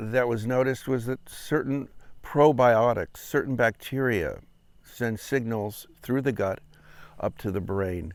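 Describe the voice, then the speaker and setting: A man speaks at a medium pitch and a fairly slow pace, with ordinary pitch variation. The recording is very clean, with a silent background. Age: 60s. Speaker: retired founder of supplement website. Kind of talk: promotional monologue. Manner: hesitant with fillers.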